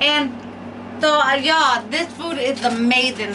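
A woman's high voice with ordinary pitch variation against noticeable background noise. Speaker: mukbang vlogger. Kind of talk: casual vlog chat. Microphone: camera far.

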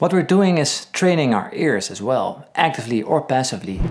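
A man talks with very wide pitch swings. Light background noise is audible. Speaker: guitar teacher. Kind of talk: tutorial. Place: home room.

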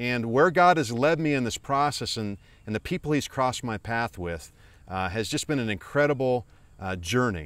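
A man with a warm tone and medium pitch speaks at a moderate pace with lively intonation. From US rural. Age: 50s. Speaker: motivational speaker and author. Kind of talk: motivational vlog. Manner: warm, earnest.

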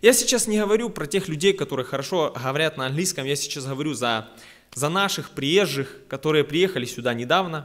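Lively intonation at a fairly quick pace over a quiet background. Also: man, fairly high pitch for a man. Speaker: preacher. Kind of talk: sermon. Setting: church. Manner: earnest, exhorting, conversational. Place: church. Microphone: podium.

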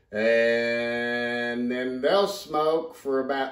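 The recording has audible room echo over a quiet background. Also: man. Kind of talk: tutorial. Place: kitchen. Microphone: camera far.

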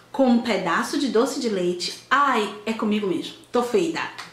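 Fairly slow speech with lively intonation and audible echo from the room. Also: woman. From Salvador, Bahia, Brazil. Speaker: video blogger. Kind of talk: casual vlog, reading questions aloud and answering. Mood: fond, nostalgic, lively. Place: home room. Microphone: camera far.

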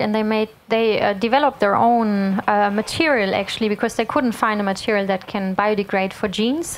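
A woman speaks at a fairly slow pace in a fairly high-pitched voice. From Germany. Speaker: sustainability consultant; speaker. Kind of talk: lecture. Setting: stage with audience. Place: hall. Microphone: handheld.

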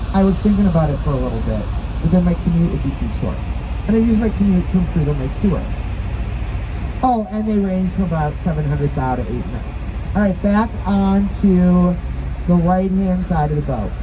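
Fairly quick speech against noticeable background noise. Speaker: tour guide. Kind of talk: guided tour commentary with jokes. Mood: playful, punning. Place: boat.

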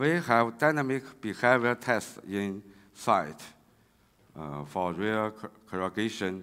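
In a Chinese accent, a man speaks with ordinary pitch variation. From China. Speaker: railway engineering researcher; conference presenter. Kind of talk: conference talk. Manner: halting, many fillers. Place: hall. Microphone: podium.

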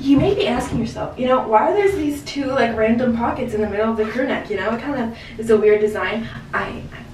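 The speech comes at a very fast pace with hardly any pauses and ordinary pitch variation, with audible room echo and light background noise. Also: woman. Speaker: vlogger. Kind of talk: casual vlog chat. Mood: playful, joking. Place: shop. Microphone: camera far.

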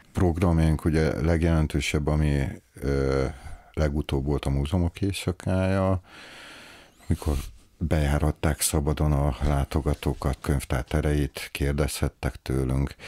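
Against a quiet background, a man with a very deep, low pitch talks at a fairly slow pace with fairly even intonation and long, frequent pauses. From Hungary, Veszprém; Hungary. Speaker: library director. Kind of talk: interview. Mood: calm, friendly. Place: office. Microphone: studio mic.

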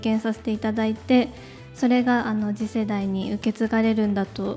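Faint music plays behind a woman with a fairly high pitch and a nervous tone. She keeps a moderate pace, her intonation monotone and flat. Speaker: beauty contest winner, gravure model. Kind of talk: award presenter speech. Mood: nervous, emotional, polite. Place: hall. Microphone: handheld.

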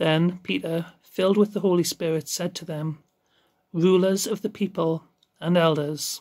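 Here a man speaks at a moderate pace in a high voice. The background is quiet. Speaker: lay reader in an online church service. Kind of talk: scripture reading. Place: home room. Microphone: phone near.

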